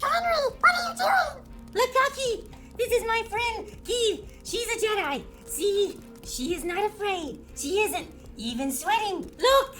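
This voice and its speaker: Over clear background noise, a woman uses a raised, projected, put-on character voice at an extremely high pitch and a fairly slow pace. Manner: excited, encouraging.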